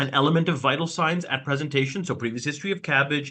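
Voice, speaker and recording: A man talks with a bright, sharp tone. The background is quiet. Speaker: emergency physician. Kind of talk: lecture. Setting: video call. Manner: loud.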